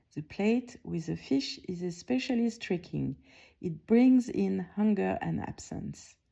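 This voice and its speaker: Speaking at a fairly slow pace in a French accent, a woman is heard in a very clean recording with a silent background. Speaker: art curator. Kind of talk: award announcement speech, prerecorded. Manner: calm, reflective; some hesitations and restarts.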